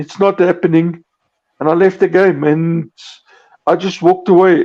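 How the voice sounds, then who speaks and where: A man's high-pitched voice at a moderate pace, with fairly even intonation. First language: not English. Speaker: podcast co-host. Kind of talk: casual chat. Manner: halting, stammering.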